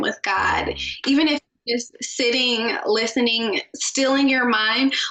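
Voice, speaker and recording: Someone with an American accent speaks in a raised, projected voice. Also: woman. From Maryland. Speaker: communications agency founder. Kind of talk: casual interview chat.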